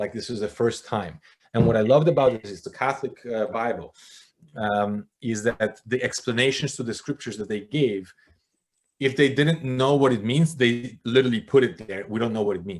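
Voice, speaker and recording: Big swings in loudness mark this voice with a Polish accent, moving at a moderate pace with ordinary pitch variation. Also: man, medium pitch for a man. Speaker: former church elder. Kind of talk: interview conversation. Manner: animated.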